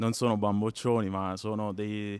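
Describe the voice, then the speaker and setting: A man with a fairly low voice talks at a moderate pace with fairly even intonation, in a dry sound with no echo. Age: young. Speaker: business association leader. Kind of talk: interview. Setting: conference. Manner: hesitant, many fillers and repetitions. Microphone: handheld.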